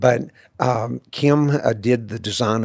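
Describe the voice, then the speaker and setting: The speaker uses ordinary pitch variation in a Texas accent. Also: man. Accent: Texas Southern US. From Central Texas. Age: 60s. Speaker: author. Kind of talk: interview. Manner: halting, many fillers.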